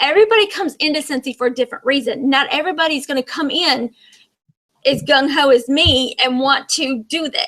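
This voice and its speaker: Bright and sharp in tone, a woman speaks at a high pitch. Her intonation is lively. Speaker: direct sales team leader. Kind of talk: online training presentation. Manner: fast.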